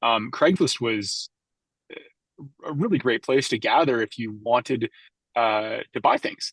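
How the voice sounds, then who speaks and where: A man with a Canadian accent, medium pitch, fairly slow pace, ordinary pitch variation and long, frequent pauses, in a dry, close sound with no echo over a quiet background. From western Canada, Vancouver Island. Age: 30s. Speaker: startup co-founder and executive. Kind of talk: podcast interview.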